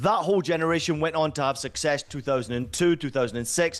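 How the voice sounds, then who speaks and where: A man with a Scottish accent, fairly high in pitch, animated in tone. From Scotland. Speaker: football commentator. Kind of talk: punditry interview.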